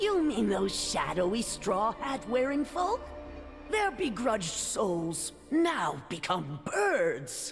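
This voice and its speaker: A put-on character voice talks very slowly at a fairly high pitch. Music plays clearly in the background. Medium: game stream. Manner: doting, sing-song.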